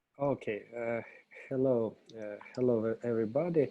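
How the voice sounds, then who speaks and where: This man has a Russian accent and a dark, mellow tone at medium pitch. He talks at a very slow pace with ordinary pitch variation. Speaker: consultant. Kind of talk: presentation. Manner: halting.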